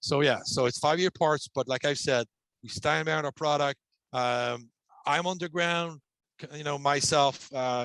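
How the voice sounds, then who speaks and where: Speaking with a French accent, a man with a fairly high pitch keeps a moderate pace and fairly even intonation, the sound dry with no echo and the background quiet. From Quebec. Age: 50s. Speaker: ventilation manufacturer executive. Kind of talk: webinar presentation and Q&A. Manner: halting, many fillers. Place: home room. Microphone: headset.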